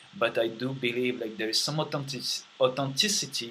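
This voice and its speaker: A man is talking. He speaks with a French accent. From France. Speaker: vlogger. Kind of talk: monologue vlog. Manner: many fillers and hesitations.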